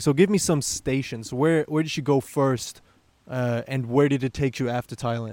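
Someone speaks in a German accent at a moderate pace with fairly even intonation. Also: man. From Germany. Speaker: podcast host. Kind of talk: casual interview.

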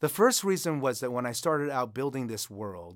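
In a very clean recording with a silent background, a plain, everyday voice with an American accent speaks with lively intonation. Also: man. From United States. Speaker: author and creative writing instructor. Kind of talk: interview about writing.

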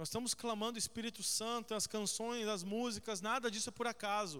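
The man's voice has a bright, sharp tone. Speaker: pastor. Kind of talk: sermon, then a prayer led before the congregation. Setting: church with a congregation. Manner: fervent, earnest, pleading prayer with repeated invocations of God; conversational, interactive, addresses the congregation directly.

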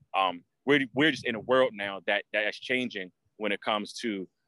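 Recorded dry and close with no echo, a man with an American accent speaks at a medium pitch in a bright, sharp tone with ordinary pitch variation. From Washington D.C. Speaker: sneaker collector. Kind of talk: casual chat. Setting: outdoors.

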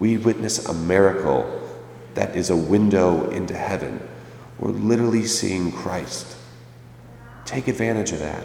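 Through noticeable background noise and audible room echo, a man with a fairly low pitch and ordinary pitch variation talks with long, frequent pauses. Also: moderate pace. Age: 20s. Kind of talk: sermon.

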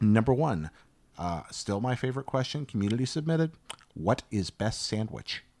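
A man talks at a moderate pace and medium pitch in a plain, everyday voice. He has an American accent and lively intonation. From US Southeast. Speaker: podcast host. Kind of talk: casual interview chat.

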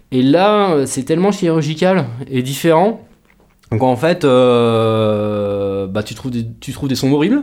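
The pace is very slow. Pitch swings very widely. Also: man, medium pitch for a man. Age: 30s. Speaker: rockabilly guitarist. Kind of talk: casual interview chat. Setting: studio.

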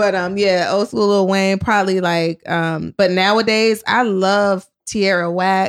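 With an American accent, a woman talks at a fairly slow pace in a monotone, flat way, with hardly any pauses. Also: medium pitch for a woman, very even loudness. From US South, Richmond, Virginia. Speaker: comedian. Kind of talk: casual interview chat.

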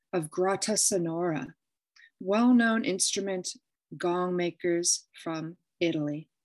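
Over a quiet background, a woman speaks at a fairly slow pace in a plain, everyday voice. Her pitch is medium, with ordinary variation. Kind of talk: interview.

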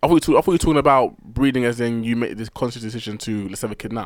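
Very fast British-accented male speech, lively in intonation, with big swings in loudness. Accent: British urban. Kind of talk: casual chat.

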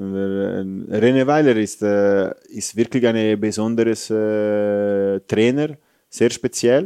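With an Italian accent, a man speaks at a very slow pace in a fairly low pitch and a dark, mellow tone, against a quiet background. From Italy, Rome. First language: Italian (speaking German). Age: 30s. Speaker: football goalkeeping coach. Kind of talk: casual interview. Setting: stadium. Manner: animated.

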